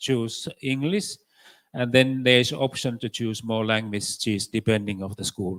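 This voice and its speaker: A man of medium pitch speaks with a Finnish accent. The sound is dry and close, with no echo. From Finland. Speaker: education expert. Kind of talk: conference panel answers. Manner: halting, many fillers.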